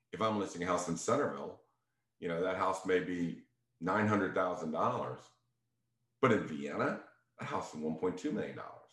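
Over audible room echo, a man with a very deep, low pitch talks very fast with ordinary pitch variation. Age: 60s. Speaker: real estate agent. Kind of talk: casual talk to listeners.

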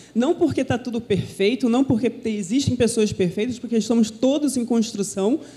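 Noticeable background noise fills the clip. The talking is fairly quick, and the pitch rises and falls in an ordinary way. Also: woman. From Brazil, Minas Gerais (Belo Horizonte). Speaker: pastor's wife, preacher. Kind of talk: sermon. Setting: church.

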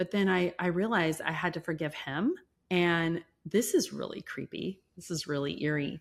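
In a very clean recording with a silent background, a woman speaks in a plain, everyday voice, her fairly low pitch showing ordinary variation. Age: 50s. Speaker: entrepreneur. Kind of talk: interview.

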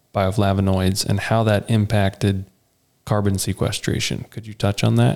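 A man with a normal speaking voice talks at a moderate pace, his fairly low pitch showing ordinary variation. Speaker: co-host agronomist. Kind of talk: casual interview.

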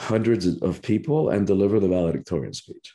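A dark, mellow tone comes through with a Spanish accent over a quiet background. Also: man. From Cuba. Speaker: spiritual teacher and author. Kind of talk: interview. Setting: remote call.

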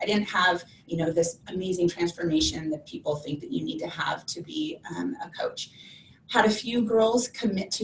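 A woman talks at a moderate pace in a medium pitch, with lively intonation. Noticeable background noise runs underneath. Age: 40s. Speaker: online fitness coach. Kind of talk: interview. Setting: video call.

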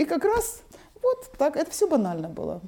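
A woman talks against noticeable background noise. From Donbas, eastern Ukraine. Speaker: founder of a cultural foundation. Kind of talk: interview.

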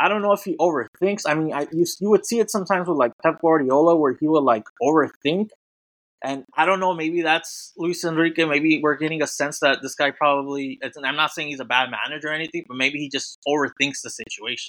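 A man with an American accent, a fairly high pitch, a bright, sharp tone, a fairly quick pace and ordinary pitch variation. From California. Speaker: soccer website writer. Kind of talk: casual chat.

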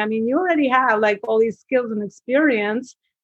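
A woman with an Albanian accent, fairly high in pitch, at a fairly quick pace with ordinary pitch variation. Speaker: business coach. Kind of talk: interview. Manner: rambling, hesitant with fillers.

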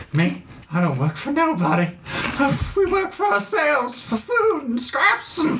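Over clear background noise, a put-on character voice with a fairly high pitch makes very wide pitch swings. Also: moderate pace. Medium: actual play. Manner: rambling, evasive.

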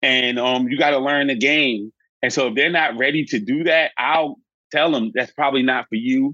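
In an American accent, a plain, everyday voice moves at a moderate pace with ordinary pitch variation. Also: man. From northern New Jersey. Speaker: business coach. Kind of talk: interview.

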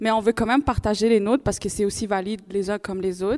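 A woman with an ordinary speaking voice at medium pitch, on a very clean recording with a silent background. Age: young. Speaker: university student. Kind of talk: live panel discussion. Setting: live event with audience.

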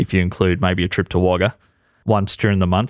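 Very deep and low in pitch, a man speaks with an Australian accent and fairly even intonation. The recording is very clean, with a silent background. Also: dry, close sound with no echo. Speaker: podcast co-host and comedian. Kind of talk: casual chat.

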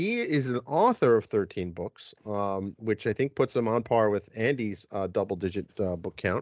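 Hardly pausing at all, a man with a New Jersey accent speaks at a fairly low pitch. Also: ordinary pitch variation, moderate pace. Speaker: podcast host. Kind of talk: casual chat.

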